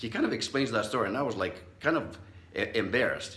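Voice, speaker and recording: Over noticeable background noise and audible room echo, a man talks at a very fast pace in an animated tone. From Southern California (immigrant as child). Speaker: psychologist, speaker. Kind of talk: motivational talk. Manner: conversational, animated storytelling.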